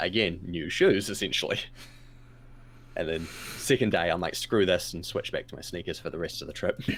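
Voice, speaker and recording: With a New Zealand accent, a man speaks at a fairly quick pace. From New Zealand, Taupo. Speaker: streamer guest on a gaming talk show. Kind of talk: casual chat.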